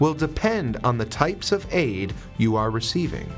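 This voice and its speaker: Music plays in the background as a man speaks fairly slowly. His pitch swings very widely. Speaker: voice actor. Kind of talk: corporate narration, educational explainer. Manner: clear, measured, informative.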